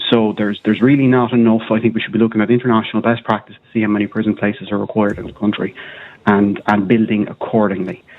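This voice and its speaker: A man with an Irish accent speaks very fast at a fairly low pitch, his intonation fairly even but his loudness swinging widely. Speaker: caller. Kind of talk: phone-in radio chat.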